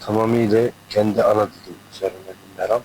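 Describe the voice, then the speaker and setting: His pitch is medium. The speaker is a man. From eastern Turkey, Erzincan/Dersim region. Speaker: singer. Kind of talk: interview. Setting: album launch concert venue.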